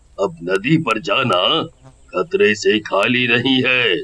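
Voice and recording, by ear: A man does a cartoonish character voice at a medium pitch. His pace is fairly slow.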